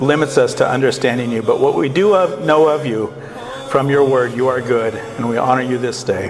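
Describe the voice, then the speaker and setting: A man's medium-pitched voice at a fairly quick pace, ordinary pitch variation, music in the background. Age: 60s. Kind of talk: opening prayer at a conference.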